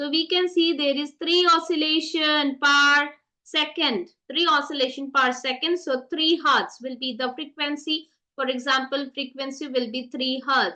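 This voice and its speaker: Raising and projecting her voice, a woman speaks fairly slowly in a high pitch with a bright, sharp tone and ordinary pitch variation. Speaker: science teacher. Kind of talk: online revision lecture.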